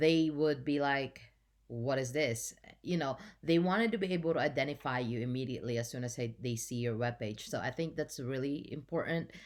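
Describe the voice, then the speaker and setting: Recorded very cleanly with a silent background, a woman with a very deep, low voice and a non-native accent speaks at a fairly quick pace with ordinary pitch variation. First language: not English. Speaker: journalism student. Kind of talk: class presentation. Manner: halting.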